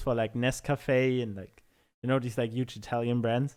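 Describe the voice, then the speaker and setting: A man speaks with a German accent at a moderate pace, his intonation fairly even. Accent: German accent, sometimes made thicker. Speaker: music producer. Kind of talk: casual chat.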